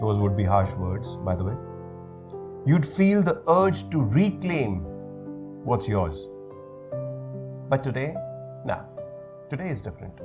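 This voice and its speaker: Over music in the background, a man talks at a very slow pace, his pitch swinging very widely. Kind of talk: spoken word poetry performance. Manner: slow, reflective.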